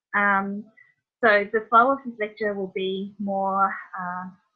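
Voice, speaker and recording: A woman speaks with a New Zealand accent and fairly even intonation. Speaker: veterinarian. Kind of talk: lecture.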